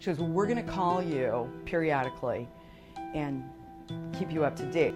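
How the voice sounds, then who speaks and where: The speech comes at a very fast pace with ordinary pitch variation. Music plays in the background. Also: woman. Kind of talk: interview answer.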